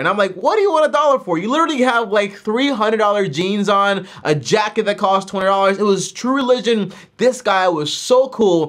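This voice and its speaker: A man speaking high in pitch, quiet background around him. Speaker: personal finance youtuber. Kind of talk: casual vlog chat. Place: home room.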